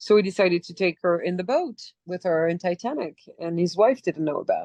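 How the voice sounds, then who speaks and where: Speaking with a slight French accent, the woman has a fairly low pitch. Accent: slight European (French). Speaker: actress. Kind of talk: interview storytelling.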